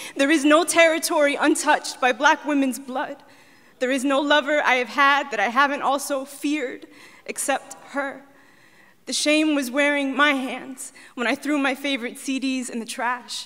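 In an American accent, a woman speaks with a high pitch and a bright, sharp tone. Her intonation is fairly even against a quiet background. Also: moderate pace. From US. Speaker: poet. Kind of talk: spoken word poetry performance. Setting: stage with audience. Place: stage. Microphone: handheld.

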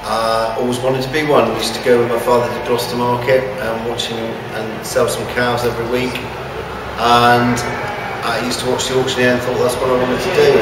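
Through audible room echo and noticeable background noise, a man talks at a fairly quick pace. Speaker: livestock auctioneer. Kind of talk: interview answer. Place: hall.

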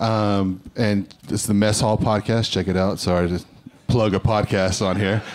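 Speaking at a fairly slow pace, a man keeps a monotone, flat intonation at a fairly low pitch, with very even loudness throughout. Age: 30s. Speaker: comedian. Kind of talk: stand-up; stand-up set and panel interview answers. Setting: stage with audience. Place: stage. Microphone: handheld.

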